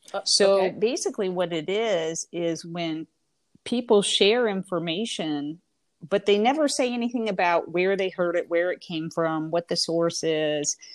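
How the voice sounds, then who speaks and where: A woman speaks in an ordinary speaking voice with an American accent. Her intonation is lively. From Indiana. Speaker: professor. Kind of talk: interview.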